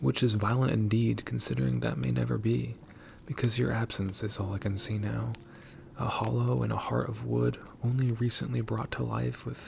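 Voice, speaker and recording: A soft-spoken man with a very deep, low pitch and very wide pitch swings. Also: moderate pace. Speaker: ASMR creator. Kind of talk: ASMR soft-spoken poetic monologue.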